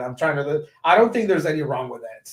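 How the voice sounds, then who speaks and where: A man with a fairly high pitch speaks in an animated tone. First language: Spanish. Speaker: education technology community lead, former teacher. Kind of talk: podcast interview.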